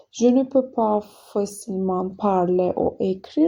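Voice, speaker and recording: Her voice, a woman's, has a dark, mellow tone. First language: not French (speaking French). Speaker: French learner vlogger. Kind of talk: casual vlog monologue. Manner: halting, many hesitations.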